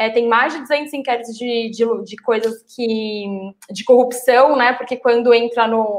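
A woman speaks at a fairly slow pace with a fairly high pitch. Her intonation is monotone and flat, while her loudness swings widely. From São Paulo, Brazil. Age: young. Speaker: political activist and city council pre-candidate. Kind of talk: live-streamed political panel chat. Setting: live stream.

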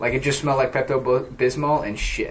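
There is noticeable background noise. Through it, a man speaks at medium pitch. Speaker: podcast host. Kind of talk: casual chat.

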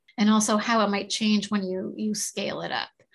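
Against a quiet background, a woman with a Maritime Canadian accent speaks at medium pitch in a somewhat breathy voice with fairly even intonation. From Nova Scotia, Canada. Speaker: agricultural scientist. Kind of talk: interview.

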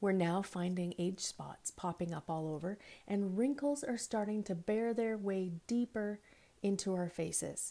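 The recording is very clean, with a silent background. A woman speaks with a dark, mellow tone. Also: medium pitch for a woman, ordinary pitch variation, fairly slow pace. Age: 50s. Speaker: podcast host. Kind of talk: monologue.

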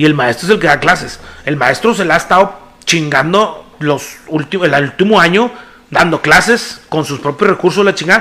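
The voice has an animated tone and lively intonation. Noticeable background noise sits behind it. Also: man. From Mexico, Nuevo León (Monterrey area). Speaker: podcast co-host. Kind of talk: casual chat.

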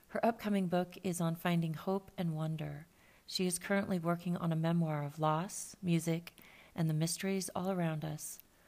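A woman speaks at a moderate pace in a fairly low voice. Her intonation is flat and monotone. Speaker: podcast host. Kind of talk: scripted narration.

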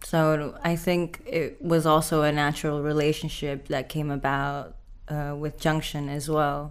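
Her voice sits very deep and low for a woman, moving at a fairly slow pace with monotone, flat intonation. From Indonesia. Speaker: artist. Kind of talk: interview.

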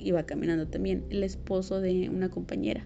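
A woman talks with a Mexican accent, and audible room echo can be heard. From Mexico, provinces outside Mexico City. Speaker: podcast host. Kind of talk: personal monologue.

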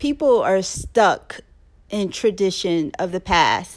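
A woman talks at a very slow pace with lively intonation. The recording is very clean, with a silent background. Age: 40s. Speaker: podcast co-host, mother and author. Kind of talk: casual chat.

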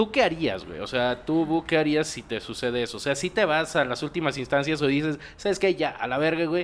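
In a very clean recording with a silent background, a man talks at a fairly quick pace. His pitch is fairly high and his intonation lively. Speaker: podcast host. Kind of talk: casual chat.

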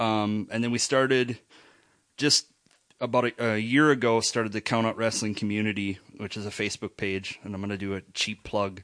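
In a dry, close sound with no echo and a quiet background, a man with an unremarkable speaking voice talks at a moderate pace with fairly even intonation and a fairly low pitch. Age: 30s. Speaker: wrestling podcaster. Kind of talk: casual chat.

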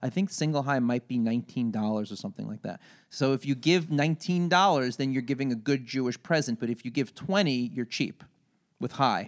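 A man with an American accent and an unremarkable speaking voice, medium pitch, lively intonation and a fairly quick pace, in a very clean recording with a silent background. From Long Island, New York. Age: 40s. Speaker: comedian. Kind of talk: casual chat.

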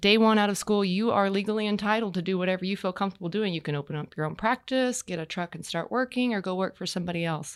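Very fast with hardly any pauses, the speech shows ordinary pitch variation in a very clean recording with a silent background. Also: woman, medium pitch for a woman. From Texas. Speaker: equine veterinarian. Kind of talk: casual interview chat. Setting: podcast studio.

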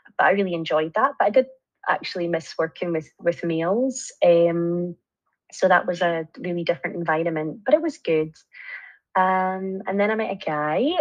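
This is a woman with a Scottish accent. Her pitch variation is ordinary. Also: fairly low pitch for a woman, moderate pace. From Scotland, Angus. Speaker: nurse lecturer. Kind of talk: interview.

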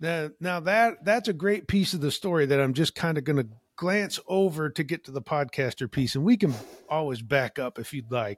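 Very clean, with a silent background and a dry, close sound with no echo, the recording captures a man with an American accent speaking at a moderate pace, fairly high in pitch, with lively intonation. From central Illinois, US Midwest. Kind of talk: casual interview.

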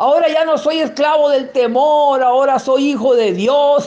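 A man at a fairly slow pace, with audible echo in the room. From Mexico, Sinaloa (rural sierra). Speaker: lay preacher giving testimony. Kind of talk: testimony and sermon.

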